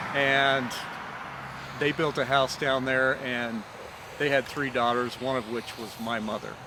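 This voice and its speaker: With noticeable background noise behind him, a man with a western US accent talks fairly slowly at a medium pitch, using monotone, flat intonation and long, frequent pauses. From Utah, Provo. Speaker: storyteller. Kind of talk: casual storytelling to camera. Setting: outdoors. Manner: casual, with filler words.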